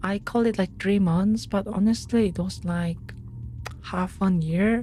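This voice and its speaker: A soft-spoken woman's voice. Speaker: streamer. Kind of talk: casual chat. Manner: halting, many fillers.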